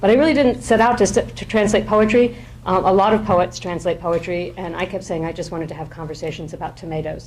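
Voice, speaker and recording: A woman's fairly low voice at a very fast pace, with noticeable background noise and audible room echo. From France, raised bilingual French-English. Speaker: poet and professor. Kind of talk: informal lecture. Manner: halting, many fillers.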